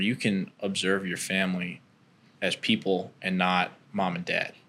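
In an ordinary speaking voice, a man with a fairly low pitch talks at a moderate pace with fairly even intonation. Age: 20s. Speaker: podcast host. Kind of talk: casual chat.

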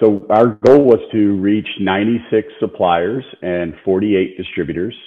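A man is speaking here. His pitch shows ordinary variation. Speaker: industry committee co-chair. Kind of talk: interview. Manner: halting, many fillers.

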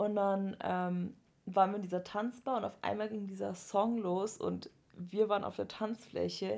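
Her pace is fairly slow. The woman's medium-pitched voice stays monotone and flat. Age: 20s. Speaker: podcast co-host, university student. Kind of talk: casual chat.

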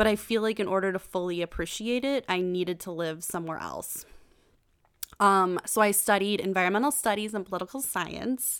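With a Western New York accent, a woman at medium pitch talks at a fairly quick pace in an animated tone. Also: ordinary pitch variation. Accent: Western New York (Inland North) American. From US, Buffalo, New York. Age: 20s. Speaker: podcast host, life coach. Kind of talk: motivational monologue. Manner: animated, laughing often.

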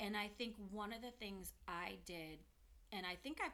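A woman speaks at a fairly slow pace with vocal fry. Her tone is bright and sharp, and her pitch varies in an ordinary way. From US West Coast, San Francisco Bay Area. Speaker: mother of the hosts. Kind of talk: casual chat.

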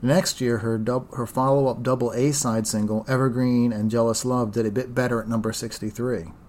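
This is an ordinary speaking voice with fairly even intonation. It moves at a moderate pace. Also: man. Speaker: podcast host. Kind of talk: casual chat.

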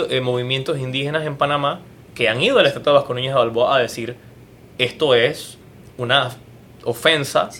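Moderate pace, fairly even intonation, and a man's medium pitch. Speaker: theatre and TV producer. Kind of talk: casual interview chat.

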